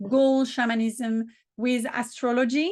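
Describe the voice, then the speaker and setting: In a strong French accent, a woman speaks with a fairly high pitch and ordinary pitch variation. The background is quiet. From southern France. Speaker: business coach and spiritual practitioner. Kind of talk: interview.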